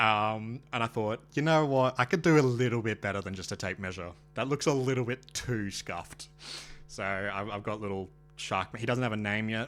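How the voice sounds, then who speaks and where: Over music in the background, a man speaks at a moderate pace in a fairly low pitch with ordinary pitch variation. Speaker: streamer. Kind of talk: casual live stream chat. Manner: halting, many fillers.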